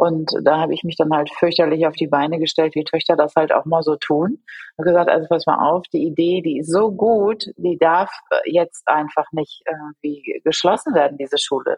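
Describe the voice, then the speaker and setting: This woman has a plain, everyday voice, fairly low in pitch, with fairly even intonation and a moderate pace. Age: 40s. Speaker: school principal. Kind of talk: interview.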